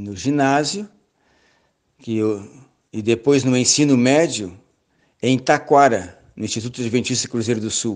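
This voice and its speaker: A man at a medium pitch with ordinary variation, fairly slow and broken by long, frequent pauses, over a quiet background. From southern Brazil, Rio Grande do Sul (Pelotas). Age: 60s. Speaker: church elder and seminar lecturer. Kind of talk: lecture. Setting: online seminar.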